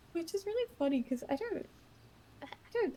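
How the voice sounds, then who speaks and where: A woman talks fairly quickly while noticeable background noise carries on behind her. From Australia. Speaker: roleplay gamer. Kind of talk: casual chat. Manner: animated.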